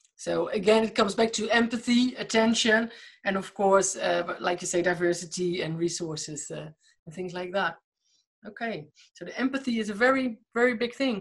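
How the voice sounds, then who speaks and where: With a medium-pitched, somewhat breathy voice, a woman speaks at a moderate pace, her loudness swinging widely. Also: ordinary pitch variation. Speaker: podcast host. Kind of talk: interview.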